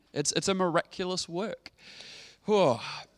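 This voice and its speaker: A man with a New Zealand accent talks at a moderate pace in an animated tone. The recording is very clean with a silent background, and the sound is dry and close with no echo. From New Zealand, Dunedin (South Island). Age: 30s. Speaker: pastor. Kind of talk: sermon.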